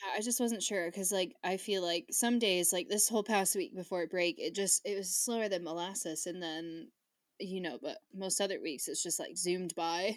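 Using a plain, everyday voice, a woman speaks at medium pitch and a moderate pace with ordinary pitch variation. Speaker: podcast host. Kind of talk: casual chat. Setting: video call.

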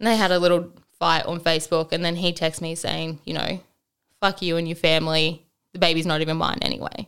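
This woman talks at a fairly low pitch with flat, monotone intonation and vocal fry. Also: fairly quick pace. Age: 20s. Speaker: single mother sharing her story. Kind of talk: casual chat.

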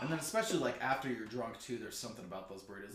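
Very fast speech with audible room echo. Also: man. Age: 30s. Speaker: podcast co-host. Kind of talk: casual chat.

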